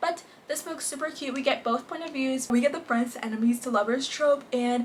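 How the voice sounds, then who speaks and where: A high-pitched woman's voice, animated in tone, with ordinary pitch variation and noticeable background noise. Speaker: booktube reviewer. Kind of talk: casual book review vlog. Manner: fast.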